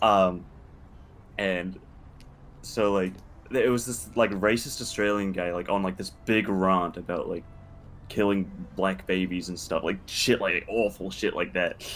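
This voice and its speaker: Using long, frequent pauses, a man with a New Zealand accent speaks at a fairly slow pace in a fairly low voice with fairly even intonation. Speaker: streamer and music producer. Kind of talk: casual chat.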